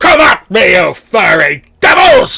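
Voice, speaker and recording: A put-on character voice speaks at a fairly slow pace with a fairly high pitch. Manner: strange, unnatural, defiant.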